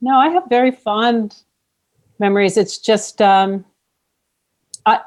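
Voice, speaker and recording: Her pitch sits fairly high as the woman speaks with ordinary pitch variation. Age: 60s. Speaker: singer-songwriter and mother of the host. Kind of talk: casual interview.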